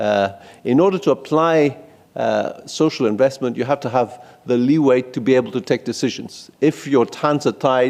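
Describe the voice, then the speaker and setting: A man speaks with a Greek accent. His pitch sits in the middle range. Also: ordinary pitch variation, moderate pace. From Greece. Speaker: policy researcher. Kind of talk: conference presentation. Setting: conference room in parliament. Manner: halting.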